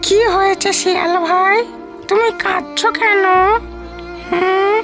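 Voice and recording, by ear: A cartoonish character voice at a very slow pace over clear music in the background.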